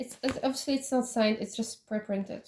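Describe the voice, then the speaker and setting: This woman has a dark, mellow tone. Her intonation stays fairly even. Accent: Polish. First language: Polish. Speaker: K-pop collection vlogger. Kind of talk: collection showcase. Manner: halting, many fillers.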